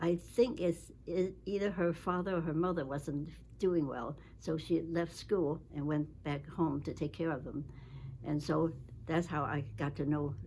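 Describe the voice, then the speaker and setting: A woman with a very deep, low pitch and a dark, mellow tone talks at a fairly slow pace, with ordinary pitch variation, vocal fry, and long, frequent pauses. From China. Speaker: retired medical researcher. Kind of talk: interview. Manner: halting.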